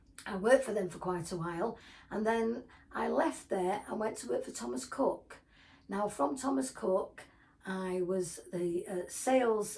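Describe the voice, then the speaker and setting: A somewhat breathy, medium-pitched woman's voice at a moderate pace. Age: 70s. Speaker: retired vlogger. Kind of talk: casual talk to camera. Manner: halting.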